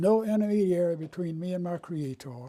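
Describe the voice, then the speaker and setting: With a North Carolina accent, a man talks high for a man at a moderate pace, his tone dark and mellow and his pitch varying in an ordinary way. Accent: US Southern, North Carolina. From North Carolina, Raleigh. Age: 80s+. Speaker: retired lawyer. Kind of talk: oral history interview.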